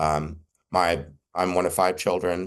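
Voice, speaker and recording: Against a quiet background, a man with an American accent talks at a fairly slow pace in a very deep, low pitch. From Texas. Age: 60s. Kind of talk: conference talk. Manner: halting, with many fillers.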